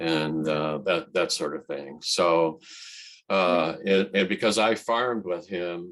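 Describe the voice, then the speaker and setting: A man's very deep, low voice in a Midwestern American accent, with ordinary pitch variation and a very slow pace. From central Illinois. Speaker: transportation engineer and poet. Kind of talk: interview answer. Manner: soft-spoken, clear.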